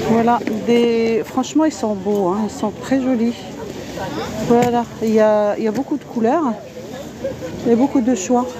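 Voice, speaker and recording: Amid noticeable background noise, a woman with a fairly high pitch talks at a fairly slow pace with long, frequent pauses, in a dry sound with no echo. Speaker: vlogger; market vlogger. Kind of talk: live stream market walkthrough. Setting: outdoors at a market. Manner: animated. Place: market. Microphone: phone near.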